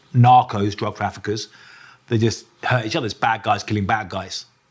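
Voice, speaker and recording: Speaking at a fairly quick pace with a southern English accent, a man keeps a medium pitch and fairly even intonation. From southern England, near Brighton. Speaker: journalist. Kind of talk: interview. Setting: in person, Mexico City. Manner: hesitant, many fillers.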